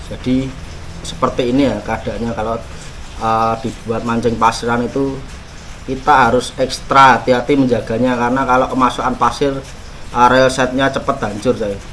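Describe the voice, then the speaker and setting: Over noticeable background noise, a man talks in a medium pitch with monotone, flat intonation. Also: moderate pace. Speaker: fishing gear YouTuber. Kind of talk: gear review and unboxing. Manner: casual, halting with fillers.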